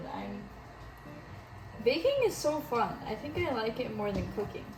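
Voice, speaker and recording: Music plays in the background as a woman speaks at a fairly slow pace with audible room echo. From US Midwest, Wisconsin. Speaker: home baking vlogger. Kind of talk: casual baking tutorial vlog. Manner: chatty, animated.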